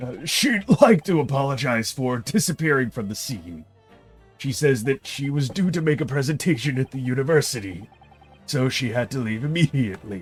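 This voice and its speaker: A man puts on a character voice at medium pitch, talking at a moderate pace with lively intonation while faint music plays in the background. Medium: game stream. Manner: reporting, hesitant.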